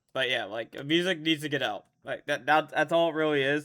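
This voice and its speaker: The recording is very clean, with a silent background. A man speaks at a moderate pace in a bright, sharp tone. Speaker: esports coach reviewing match demo. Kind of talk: demo review commentary. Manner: stuttering, halting; animated, emphatic.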